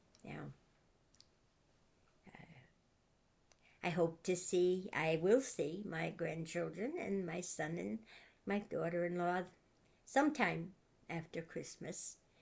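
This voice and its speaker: At a very slow pace, a woman speaks at a fairly low pitch with vocal fry, ordinary pitch variation, big swings in loudness and long, frequent pauses. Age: 80s+. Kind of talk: casual talk to camera. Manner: gentle, calm.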